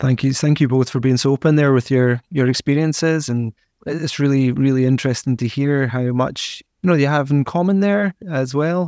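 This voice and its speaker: An ordinary speaking voice with ordinary pitch variation at a moderate pace, in a dry, close sound with no echo. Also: man. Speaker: podcast host. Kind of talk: interview chat.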